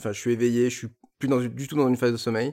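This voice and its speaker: A man at a medium pitch. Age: 30s. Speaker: industrial engineer. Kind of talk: interview. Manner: halting.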